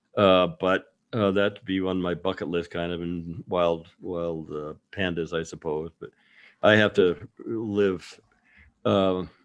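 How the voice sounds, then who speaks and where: A man speaks with a very deep, low voice and an American accent. His intonation stays fairly even at a very slow pace. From US Midwest, Nebraska. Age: 70s. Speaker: wildlife photographer. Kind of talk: casual chat. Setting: video call.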